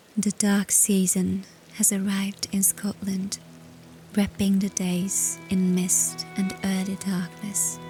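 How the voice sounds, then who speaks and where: With music in the background, a woman speaks in a gentle tone. Her pace is very slow and her loudness very even. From Transylvania, Romania. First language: Hungarian. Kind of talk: calm lifestyle narration. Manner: soft, slow, gentle.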